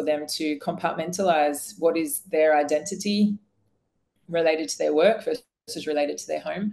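A woman with a plain, everyday voice, fairly low pitch, ordinary pitch variation and a moderate pace. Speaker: coaching company founder and chief executive. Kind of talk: webinar discussion. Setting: video call. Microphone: video call.

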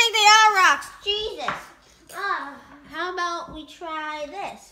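Extremely high in pitch, a cartoonish character voice moves at a fairly slow pace. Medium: puppet.

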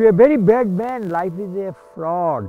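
A man speaking very slowly in a high voice, with music in the background. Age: 80s+. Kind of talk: poetry reading.

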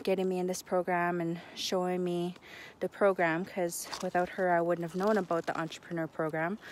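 In a monotone, flat intonation, a woman with a fairly low pitch speaks in a dry sound with no echo over light background noise. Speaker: vlogger. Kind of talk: casual vlog chat. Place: waterside. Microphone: phone near.

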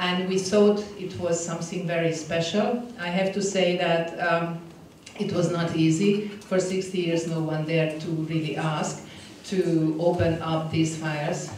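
A woman speaks with a Hungarian accent at a fairly low pitch, her intonation monotone and flat. Room echo is audible, and light noise sits in the background. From Hungary. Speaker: diplomat. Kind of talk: conference talk. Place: hall. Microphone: podium.

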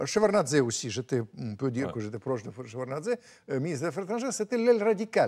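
This man talks at a very fast pace with a fairly high pitch and very wide pitch swings. The background is quiet. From Russia. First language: Russian (speaking French). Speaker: writer and former diplomat; interviewee. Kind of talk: interview. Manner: animated. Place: studio. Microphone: lapel.

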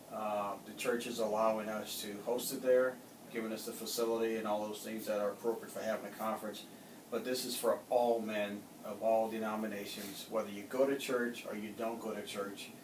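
A man's monotone, flat delivery at a fairly quick pace over noticeable background noise. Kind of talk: interview answer. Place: office. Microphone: camera far.

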